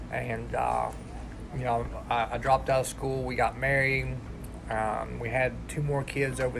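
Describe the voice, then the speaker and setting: Amid noticeable background noise and audible room echo, a man in an Appalachian accent talks at a moderate pace. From West Virginia. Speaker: recovery peer support specialist. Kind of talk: personal testimony.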